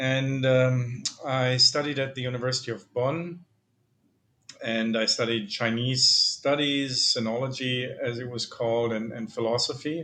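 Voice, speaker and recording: A man's medium-pitched voice, fairly slow in pace, with fairly even intonation. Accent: German. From Germany. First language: German. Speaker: philosophy professor. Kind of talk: interview. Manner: hesitant, many fillers.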